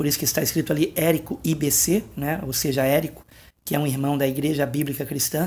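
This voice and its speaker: Soft-spoken and somewhat breathy, a man talks at a fairly high pitch with fairly even intonation. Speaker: pastor. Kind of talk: late-night video monologue on prophecy. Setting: at home at night, family asleep.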